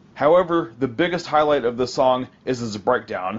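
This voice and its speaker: An ordinary speaking voice with an American accent moves at a moderate pace with ordinary pitch variation. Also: man. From United States. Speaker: metal album reviewer podcast host. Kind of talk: scripted album review monologue.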